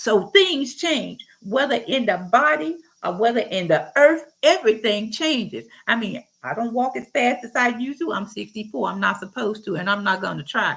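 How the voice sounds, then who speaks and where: A woman speaks at a moderate pace with hardly any pauses. Her fairly high pitch moves in very wide swings. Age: 60s. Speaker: Bible teacher. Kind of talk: informal Bible teaching monologue. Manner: animated.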